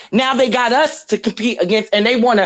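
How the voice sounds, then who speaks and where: At a fairly quick pace, a woman speaks with a fairly high pitch and an animated tone. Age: 30s. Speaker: podcast co-host. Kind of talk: heated debate.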